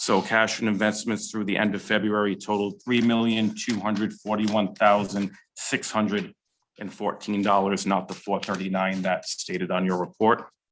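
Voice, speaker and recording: In a very clean recording with a silent background, a man speaks in a fairly low, monotone voice with flat intonation. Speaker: finance officer reporting to a town sewer commission. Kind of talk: public meeting report. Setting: town council meeting room. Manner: fast.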